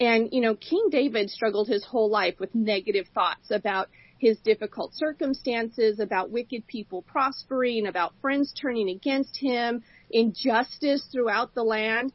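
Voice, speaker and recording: At a moderate pace, a woman speaks in a normal speaking voice, fairly high in pitch with ordinary pitch variation. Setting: radio studio.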